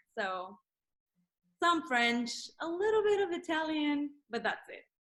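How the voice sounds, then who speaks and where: Speaking at a fairly slow pace with a Spanish accent, a woman uses an extremely high pitch, very wide pitch swings and big swings in loudness. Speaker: real estate agent. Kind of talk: casual chat. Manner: halting, many fillers.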